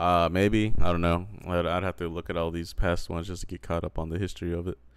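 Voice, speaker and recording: With an American accent, a man with a very deep, low voice speaks very fast in a flat monotone on a very clean recording with a silent background. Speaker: podcast host. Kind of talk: casual chat.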